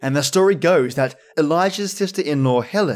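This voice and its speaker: A man with an Australian accent speaks at a moderate pace. His pitch is fairly high and his intonation lively. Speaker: podcast host. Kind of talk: scripted narration.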